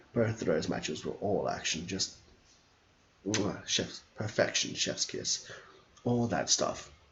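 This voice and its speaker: This man talks with an Australian accent. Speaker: wrestling streamer. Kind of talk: casual chat. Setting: live stream. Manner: fast; animated.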